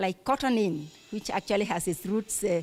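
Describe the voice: A woman with lively intonation at a moderate pace.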